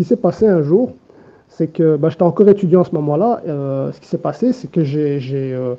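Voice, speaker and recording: At a moderate pace, a man speaks with lively intonation and big swings in loudness. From Belgium, Brussels. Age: 20s. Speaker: patient giving testimony. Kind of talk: testimony. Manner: halting.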